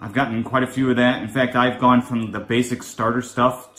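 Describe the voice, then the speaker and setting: Faint music plays in the background while a man talks. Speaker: gaming content creator. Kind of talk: game commentary.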